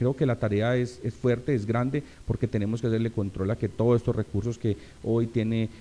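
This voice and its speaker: Monotone and flat, a man talks at a fairly quick pace. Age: 30s. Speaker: local politician, assembly candidate; local politician, candidate. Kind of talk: interview. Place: studio. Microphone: studio mic.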